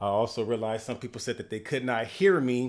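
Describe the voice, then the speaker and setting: In an animated tone, a man speaks at a medium pitch. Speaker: health coach. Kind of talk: livestream talk. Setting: live stream on computer. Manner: fast.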